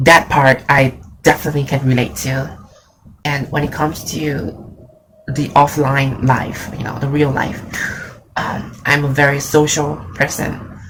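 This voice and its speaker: With a very deep, low voice, a woman talks at a fairly slow pace with long, frequent pauses over noticeable background noise. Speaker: graphic designer. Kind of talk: casual talk to camera.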